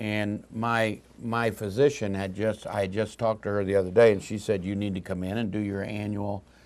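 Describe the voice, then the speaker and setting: A man talks at a fairly quick pace in a fairly low pitch. His intonation is monotone and flat, and the background is quiet. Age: 60s. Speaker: talk show host. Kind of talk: health talk show interview.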